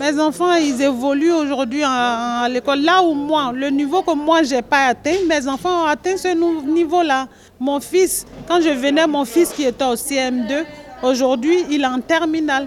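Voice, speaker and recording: With noticeable background noise behind her, a woman speaks at a fairly slow pace. Her pitch is high. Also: ordinary pitch variation. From Ivory Coast. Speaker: association cook. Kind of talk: interview.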